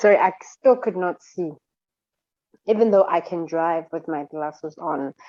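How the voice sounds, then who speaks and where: Her voice is fairly low-pitched with a dark, mellow tone and ordinary pitch variation. The woman speaks at a fairly slow pace, with long, frequent pauses and big swings in loudness. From South Africa. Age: 30s. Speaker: model and nonprofit founder. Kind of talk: interview.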